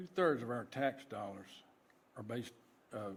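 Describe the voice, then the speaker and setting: With lively intonation, a man of medium pitch speaks at a moderate pace. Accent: Georgia. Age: 60s. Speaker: citizen speaking at public hearing. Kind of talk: public comment at board hearing. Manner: casual.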